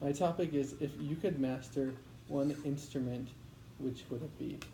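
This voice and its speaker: Heard with audible room echo, a man with a fairly high pitch, a dark, mellow tone and vocal fry keeps his intonation fairly even. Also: moderate pace. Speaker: medical student in public speaking class. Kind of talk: practice speech. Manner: voice shaking, not confident.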